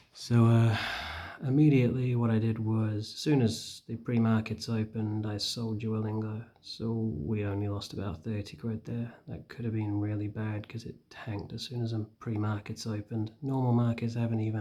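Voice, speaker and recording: Soft-spoken and in a northern English accent, the speaker keeps a moderate pace with hardly any pauses. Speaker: stock trading vlogger. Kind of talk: casual vlog commentary. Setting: at home. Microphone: too quiet, hard to hear.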